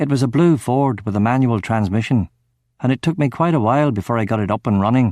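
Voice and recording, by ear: Over a quiet background, a voice is reading aloud in a natural voice, its pitch varying in an ordinary way.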